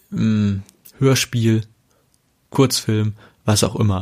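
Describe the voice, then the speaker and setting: The man's voice sits at a fairly low pitch with fairly even intonation. He speaks at a very slow pace. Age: 30s. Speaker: pastor. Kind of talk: casual podcast monologue.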